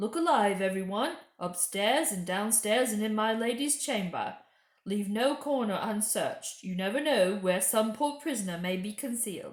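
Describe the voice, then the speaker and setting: At a moderate pace, this woman performs in a put-on character voice pitched fairly high. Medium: read story. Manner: commanding, warm.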